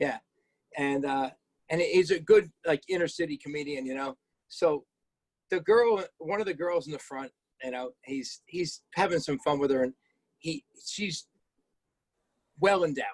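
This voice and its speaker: With a dry, close sound and no echo, a man of fairly high pitch speaks at a moderate pace with ordinary pitch variation and long, frequent pauses. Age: 60s. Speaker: auto body shop owner and podcast co-host. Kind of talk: casual storytelling chat. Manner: animated.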